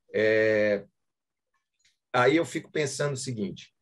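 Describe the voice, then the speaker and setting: With lively intonation, a man speaks in a somewhat breathy voice against a quiet background. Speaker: course participant. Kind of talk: question in seminar discussion. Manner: hesitant, thinking aloud. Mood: thoughtful, reflective. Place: home room. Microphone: video call.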